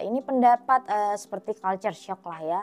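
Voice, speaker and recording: In a dark, mellow tone, a woman talks with lively intonation at a fairly high pitch. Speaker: reaction video host. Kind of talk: casual reaction commentary. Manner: animated.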